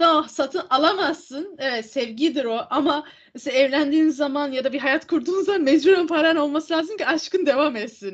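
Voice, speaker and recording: A woman with a high pitch holds a moderate pace. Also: ordinary pitch variation. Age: 20s. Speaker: podcast co-host. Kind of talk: casual chat.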